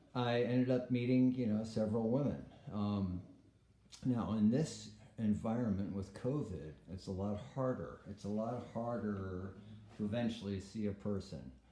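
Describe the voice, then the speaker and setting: Audible room echo surrounds a man speaking at a moderate pace. His tone is dark and mellow, with a fairly low pitch. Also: ordinary pitch variation. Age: 60s. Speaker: vlogger. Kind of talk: casual monologue vlog. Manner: hesitant, many fillers.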